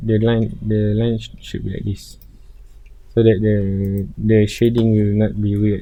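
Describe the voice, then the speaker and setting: Audible room echo surrounds a man with fairly low pitch. His intonation is monotone and flat, and his pace fairly slow. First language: not English. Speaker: 3D design tutorial creator. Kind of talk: tutorial. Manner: halting.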